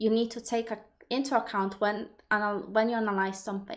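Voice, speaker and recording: In a Polish accent, a woman speaks at a moderate pace and fairly high pitch with fairly even intonation, on a very clean recording with a silent background. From Poland. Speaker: personal development coach. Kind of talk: live stream Q&A. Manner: halting, many repetitions.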